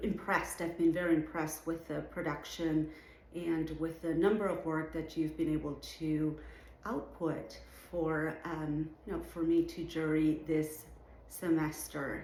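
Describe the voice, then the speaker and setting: A woman's very deep, low voice, fairly slow and monotone with flat intonation, in audible room echo. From Venezuela, Caracas. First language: Spanish. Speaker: artist and art educator, show juror. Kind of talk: recorded address to students.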